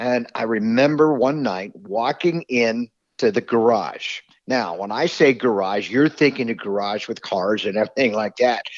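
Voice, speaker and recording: Here is a normal speaking voice from a man. His pitch is medium with ordinary pitch variation. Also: moderate pace. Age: 50s. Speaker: game call company manager. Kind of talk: casual chat.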